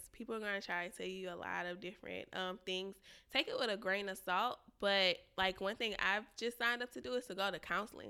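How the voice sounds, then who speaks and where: Fairly quick speech from a woman at medium pitch, bright and sharp in tone with vocal fry and ordinary pitch variation, on a very clean recording with a silent background. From Louisiana. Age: 20s. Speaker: podcast guest sharing relationship story. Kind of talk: casual chat.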